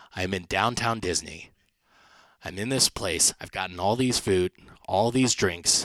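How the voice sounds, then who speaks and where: A man speaks at a moderate pace in a fairly low pitch with ordinary pitch variation, the sound dry and close with no echo. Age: 30s. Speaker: comedian. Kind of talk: stand-up. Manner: animated.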